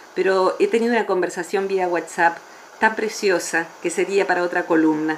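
A woman talks at a medium pitch, with noticeable background noise behind her. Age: 50s. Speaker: psychologist. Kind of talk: radio interview.

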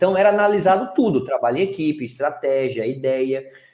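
Somewhat breathy, a man talks with a fairly high pitch and lively intonation. His pace is moderate. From Pernambuco, Brazil. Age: young. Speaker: speaker, writer and former reality show contestant. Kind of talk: interview. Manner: casual, relaxed.

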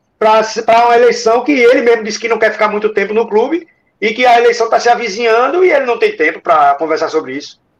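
A man's extremely high-pitched voice at a very fast pace, full of lively intonation. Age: 40s. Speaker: former club election committee member. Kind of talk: casual chat.

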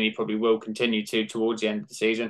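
A man's medium-pitched voice with a British accent. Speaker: fantasy football podcaster. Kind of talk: casual chat.

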